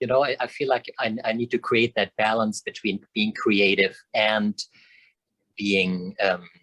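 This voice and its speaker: Fairly low male voice with a bright, sharp tone, fairly even intonation and a fairly slow pace, in a dry, close sound with no echo. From Germany. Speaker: choreographer and dance history teacher. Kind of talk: interview.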